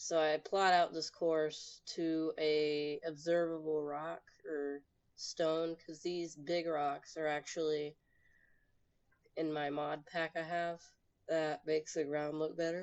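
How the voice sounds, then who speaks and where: A woman's very deep, low voice, flat and monotone, at a very slow pace. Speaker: gaming video narrator. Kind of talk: gameplay narration. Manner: hesitant, many fillers and repeats.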